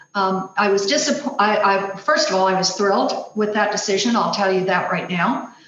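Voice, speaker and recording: A woman at a medium pitch and a fairly quick pace, with noticeable background noise and audible room echo. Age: 60s. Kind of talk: presentation.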